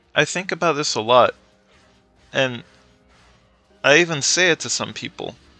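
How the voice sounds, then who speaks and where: Against music in the background, a man with a fairly high pitch and ordinary pitch variation speaks at a moderate pace, leaving long, frequent pauses. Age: 20s. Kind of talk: casual rant over gameplay. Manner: rambling, hesitant.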